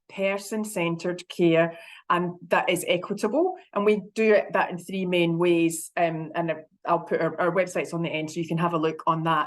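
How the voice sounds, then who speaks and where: A woman with a Scottish accent against a quiet background. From Scotland. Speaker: health consumer advocate. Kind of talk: conference presentation. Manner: fast.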